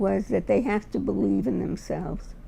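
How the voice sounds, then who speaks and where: A woman talks with a New York accent. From New York, Brooklyn. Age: 80s+. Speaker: retired teacher. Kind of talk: personal testimony.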